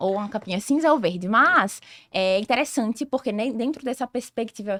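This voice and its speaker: A woman speaks in a normal speaking voice at a moderate pace, fairly high in pitch with lively intonation. The sound is dry and close, with no echo. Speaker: sales director and consultant. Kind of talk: podcast interview.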